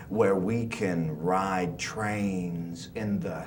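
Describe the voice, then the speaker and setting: Through noticeable background noise, a man with a very deep, low voice speaks very slowly with lively intonation. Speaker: spoken word artist. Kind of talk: poetry reading.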